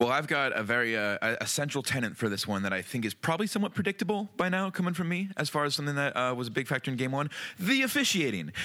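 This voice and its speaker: Very fast and with hardly any pauses, a man speaks in an American accent at a fairly high pitch. His tone is bright and sharp, and his pitch swings very widely. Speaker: sports podcast host. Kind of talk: casual sports chat.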